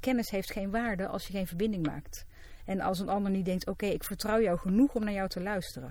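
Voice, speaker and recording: Her tone is dark and mellow, with a medium pitch. The woman talks at a fairly quick pace with ordinary pitch variation. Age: 40s. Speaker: psychologist. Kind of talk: casual chat.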